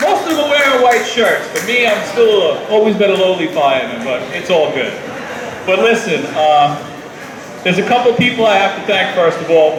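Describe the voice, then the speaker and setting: A loud man with an American accent talks at a moderate pace in a high pitch with very wide pitch swings, with audible room echo and noticeable background noise. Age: 50s. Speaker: retiring firefighter. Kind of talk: retirement speech. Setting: party with audience and microphone.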